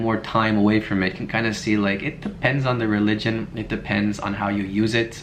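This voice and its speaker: A man talks at a fairly low pitch. Audible room echo surrounds his voice. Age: 20s. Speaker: video blogger. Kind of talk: reaction commentary, casual chat.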